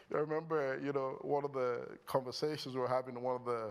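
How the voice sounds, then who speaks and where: At a fairly quick pace, a man speaks at a medium pitch with a Nigerian accent. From Nigeria, Lagos. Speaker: company founder and CEO. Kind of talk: on-stage interview. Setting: stage with audience. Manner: animated.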